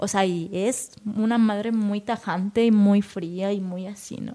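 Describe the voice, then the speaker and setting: In an unremarkable speaking voice, a woman talks at a medium pitch with ordinary pitch variation. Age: 20s. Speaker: poet. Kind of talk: casual chat. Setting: cultural venue.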